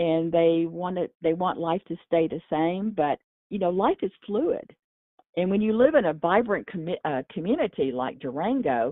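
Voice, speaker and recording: With lively intonation and a Texan accent, a woman talks at a moderate pace and a fairly low pitch. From Texas. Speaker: mayor. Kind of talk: interview. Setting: podcast.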